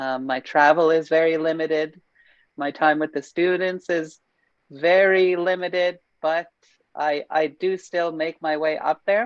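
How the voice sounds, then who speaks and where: A woman speaks at a fairly slow pace in a plain, everyday voice, her fairly low pitch held in fairly even intonation against a quiet background. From northern Saskatchewan, Canada. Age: 20s. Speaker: fiddle teacher. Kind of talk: panel introduction.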